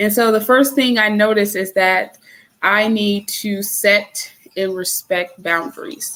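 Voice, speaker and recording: The speaker moves at a very slow pace, with ordinary pitch variation. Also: woman. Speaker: spiritual lifestyle vlogger. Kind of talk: casual livestream talk. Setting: live stream. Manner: halting, stumbling over words.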